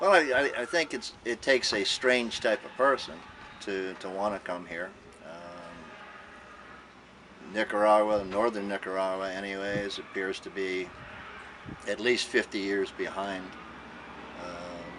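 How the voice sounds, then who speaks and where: With noticeable background noise behind him, a man speaks at a moderate pace and fairly low pitch, his intonation fairly even, his loudness swinging widely, and his pauses long and frequent. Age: 60s. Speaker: retired carpenter. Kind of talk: interview answer.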